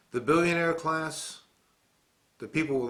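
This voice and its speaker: A man speaks with an American accent in a monotone, flat intonation. His pace is moderate. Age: 60s. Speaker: war veteran, political commentator. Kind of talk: political commentary monologue.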